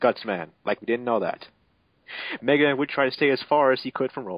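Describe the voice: The sound is dry and close, with no echo. A man talks at a fast pace.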